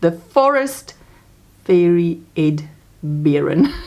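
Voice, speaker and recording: A woman speaks with a South African accent. Her pitch is fairly low, her intonation lively. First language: Afrikaans. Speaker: crochet vlogger. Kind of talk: casual craft vlog. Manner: chatty, hesitant fillers.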